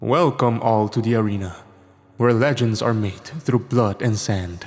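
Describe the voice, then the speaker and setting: Putting on a booming character voice, a man speaks at a medium pitch and moderate pace with very even loudness. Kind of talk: showy, theatrical.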